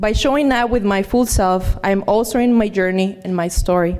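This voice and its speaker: Spoken in a Mexican accent at a moderate pace, the voice keeps a fairly even intonation over noticeable background noise. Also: woman. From Mexico. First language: Spanish. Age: 30s. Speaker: honoree speaker. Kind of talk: speech.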